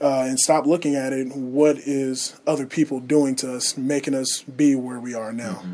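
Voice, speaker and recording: A man's medium-pitched, monotone voice at a moderate pace with hardly any pauses, over noticeable background noise. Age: 20s. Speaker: college student athlete and church elder. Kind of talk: radio interview. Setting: radio studio booth.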